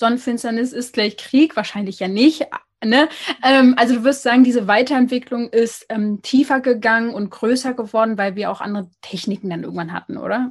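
A woman with an ordinary speaking voice talks at a moderate pace in a fairly high pitch, with ordinary pitch variation and a quiet background. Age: 20s. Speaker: podcast host on skin health. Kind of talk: interview. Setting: internet call.

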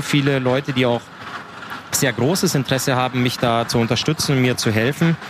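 Fairly even intonation from a man, with noticeable background noise. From Upper Bavaria, Waldkraiburg. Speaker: ice hockey player. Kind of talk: casual interview. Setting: outdoors at a market.

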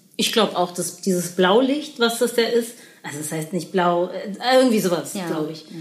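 Over noticeable background noise, a woman speaks at a moderate pace and a medium pitch, with lively intonation and big swings in loudness. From Berlin. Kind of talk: casual chat.

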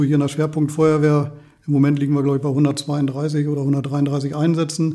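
A man speaks at a moderate pace in a fairly high pitch, his dark, mellow tone delivered with a monotone, flat intonation. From Lower Saxony, Walsrode. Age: 50s. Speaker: volunteer firefighter. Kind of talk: interview.

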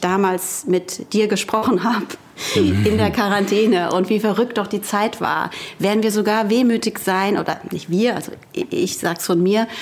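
Noticeable background noise behind a woman's medium-pitched voice, fairly even intonation and a moderate pace. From Frankfurt am Main. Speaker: author and columnist. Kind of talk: casual chat. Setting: remote call from her home.

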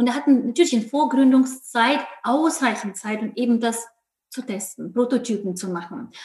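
A woman speaks at a high pitch. Her loudness swings widely while her pitch varies in an ordinary way. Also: moderate pace. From Ukraine. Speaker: company founder. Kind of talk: podcast interview. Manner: hesitant with fillers.

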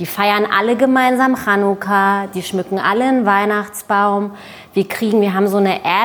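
A woman speaks at medium pitch and a moderate pace with fairly even intonation. Noticeable background noise is present. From East Berlin, Germany. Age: 30s. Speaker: journalist and author. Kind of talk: panel discussion. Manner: hesitant, many fillers.

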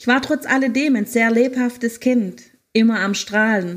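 Recorded very cleanly against a silent background, the voice proceeds at a fairly slow pace with ordinary pitch variation. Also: woman. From Germany, Hohenlohe (Baden-Württemberg). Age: 50s. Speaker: life coach and podcaster. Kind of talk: personal testimony, partly read aloud. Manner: read-aloud sounding.

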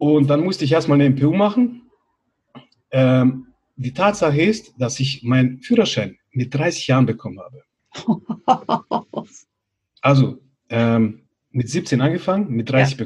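Speaking at a fairly slow pace with long, frequent pauses, a man uses lively intonation and a fairly high pitch. His voice is somewhat breathy. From Bosnia, grew up in Germany from age six. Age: 30s. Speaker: life coach. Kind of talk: interview, personal life story.

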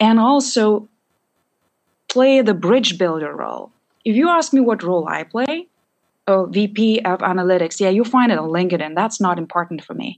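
Her pitch medium and her intonation lively, a woman speaks at a moderate pace in an unremarkable speaking voice. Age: young. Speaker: analytics and AI executive. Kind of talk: interview conversation.

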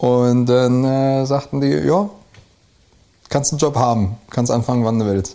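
Speaking very slowly, a man with a medium-pitched voice and a dark, mellow tone uses lively intonation. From Rhineland, Germany (Neuwied, Westerwald, Koblenz area). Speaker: brewer. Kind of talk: casual interview. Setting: indoors, over beer. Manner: hesitant, many fillers.

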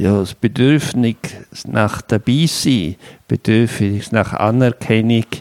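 A very slow delivery with ordinary pitch variation and a dry, close sound with no echo. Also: man. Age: 60s. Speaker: career counselor, psychologist. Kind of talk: interview. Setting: his own place.

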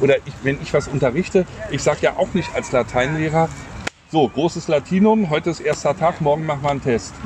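A man speaks at a moderate pace in a fairly high pitch, with noticeable background noise behind him. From Berlin. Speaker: podcast co-host. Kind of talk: casual chat. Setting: outdoors in a park.

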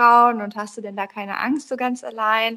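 The voice has a bright, sharp tone and monotone, flat intonation. It moves at a moderate pace. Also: woman. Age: 30s. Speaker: solo traveller. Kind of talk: interview.

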